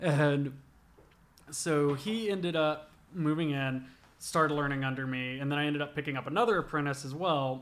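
A man talks at a moderate pace in a fairly high pitch, with ordinary pitch variation. His is an unremarkable speaking voice. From US South, southwest Georgia (Albany area). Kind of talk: casual chat. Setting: studio, eating pizza while recording.

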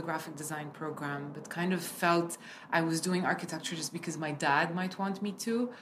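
Noticeable background noise sits behind a woman talking at a fairly quick pace. Her pitch is fairly low and varies in an ordinary way. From Kuwait then Lebanon. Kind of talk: interview conversation.

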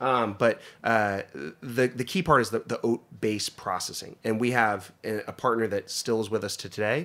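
Heard on a very clean recording against a silent background, a man with an ordinary speaking voice, medium pitch and ordinary pitch variation talks with hardly any pauses. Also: moderate pace. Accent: American. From northeastern Pennsylvania. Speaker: food company general manager. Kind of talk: casual interview.

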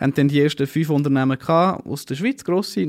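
In a very clean recording with a silent background and a dry, close sound with no echo, a man speaks at a very fast pace. His voice is fairly high in pitch, with ordinary pitch variation. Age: 30s. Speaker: startup founder and CEO. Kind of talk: interview.

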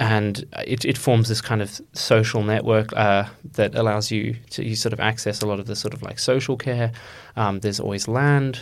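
A man talks with an Australian accent at a medium pitch. His intonation is flat and monotone. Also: moderate pace. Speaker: undergraduate student.

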